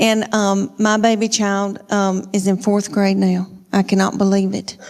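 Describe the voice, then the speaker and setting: A woman's flat, monotone voice in a Southern US accent, medium in pitch, fairly slow in pace and very even in loudness. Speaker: stand-up comedian. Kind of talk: stand-up comedy routine. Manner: folksy storytelling.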